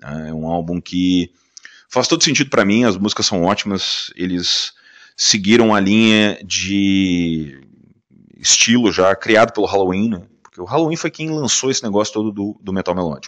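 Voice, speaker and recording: A man's fairly low voice moves at a moderate pace with a quiet background behind it. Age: 40s. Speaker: podcast host. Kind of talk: casual monologue. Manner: animated.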